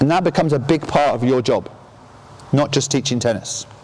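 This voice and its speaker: The speaker moves at a fairly quick pace. Noticeable background noise runs underneath. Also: man. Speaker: tennis coach educator. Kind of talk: conference presentation. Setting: stage with audience. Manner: interactive, jokey.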